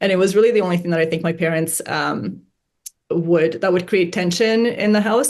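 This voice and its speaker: Her pitch fairly low with ordinary variation, a woman speaks with a Hungarian accent. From Canada, arrived age ten from Romania. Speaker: investor. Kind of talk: interview. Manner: many fillers and restarts.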